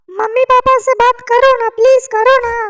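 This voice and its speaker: A woman's cartoonish character voice, extremely high-pitched, raised and projected, with monotone, flat intonation. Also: moderate pace. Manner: demanding.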